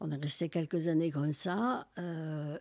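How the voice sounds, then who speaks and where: A woman's very deep, low voice with a dark, mellow tone, in a very clean recording with a silent background. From Algeria, Algiers. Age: 80s+. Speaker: author. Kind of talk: interview. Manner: halting; animated.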